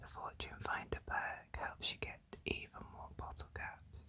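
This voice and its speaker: Someone whispers at a fairly slow pace. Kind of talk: ASMR whispered ramble. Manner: whispered, soft.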